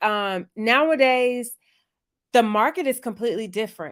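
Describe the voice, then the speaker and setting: Animated in tone, a woman talks at a moderate pace with ordinary pitch variation. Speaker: career coach. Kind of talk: live Q&A webinar.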